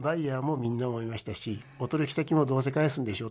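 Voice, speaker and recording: This man's voice is somewhat breathy with a dark, mellow tone, medium pitch and ordinary pitch variation, and he moves at a fairly quick pace. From Japan, Gunma (Maebashi). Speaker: company president. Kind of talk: radio interview. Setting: radio studio.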